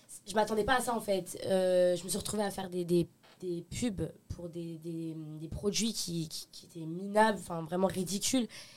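A woman speaks at a medium pitch and a fairly slow pace with fairly even intonation. Her loudness swings widely. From Paris region, France. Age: 20s. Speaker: influencer. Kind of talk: casual chat. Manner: halting.

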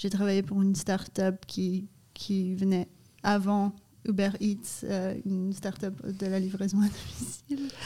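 Speaking at a very slow pace, a woman with a somewhat breathy, dark and mellow tone keeps her intonation fairly even. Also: medium pitch for a woman. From Canada and Brazil. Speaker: ice cream company co-founder. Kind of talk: casual interview. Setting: studio in a cellar.

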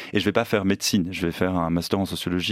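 Speaking at a very fast pace, a man with a very deep, low pitch sounds monotone and flat, his voice dry and close with no echo over noticeable background noise. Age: 30s. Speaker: novelist and magazine editor. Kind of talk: interview. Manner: halting.

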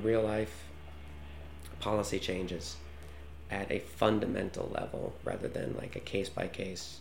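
Heard with audible room echo, the speaker talks at a moderate pace in an American accent, with ordinary pitch variation. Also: man. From United States. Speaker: journalist. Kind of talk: interview answers.

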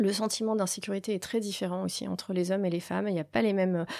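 Her medium pitch and ordinary pitch variation come through on a very clean recording with a silent background as the woman speaks. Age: 40s. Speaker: network president at a company. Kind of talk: interview. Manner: hesitant, many fillers.

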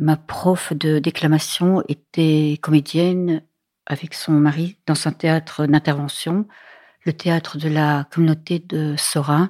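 Very slow and monotone, a woman's very deep, low voice sounds dry and close with no echo in a very clean recording against a silent background. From Belgium, near the Dutch border. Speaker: film director. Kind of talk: interview.

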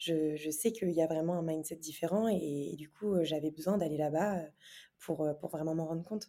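The woman's pitch is very deep and low, with a dark, mellow tone. She talks at a moderate pace with fairly even intonation. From France, Normandy. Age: 20s. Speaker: startup founder and former athlete. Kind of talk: interview. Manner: hesitant, many fillers.

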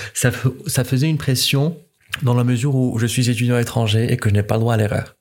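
A somewhat breathy, medium-pitched male voice at a fairly quick pace, with fairly even intonation. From Morocco. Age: 20s. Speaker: foreign student. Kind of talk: interview.

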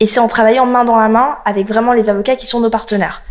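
It is an unremarkable speaking voice, a woman's, fairly high in pitch, fairly quick and fairly even in intonation. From France, partly raised in South Africa. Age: 30s. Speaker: lawyer and law firm founder. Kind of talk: interview.

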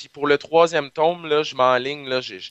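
In a Quebec accent, a man speaks with ordinary pitch variation against a quiet background. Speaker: pharmacist, science communicator. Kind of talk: casual interview chat.

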